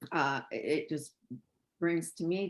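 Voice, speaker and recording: Here a man speaks with a Canadian accent. His intonation is fairly even. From western Canada. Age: 60s. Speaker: caller. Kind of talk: casual chat. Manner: halting.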